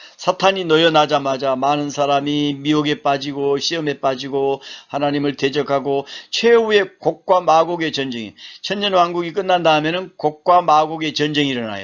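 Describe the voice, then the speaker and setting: At a moderate pace, the man talks in a fairly high voice. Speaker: seminary professor. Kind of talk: lecture. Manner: halting.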